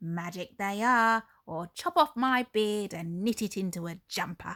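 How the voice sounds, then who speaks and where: Using a croaky, put-on character voice, a woman speaks at a moderate pace and medium pitch with lively intonation. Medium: read story.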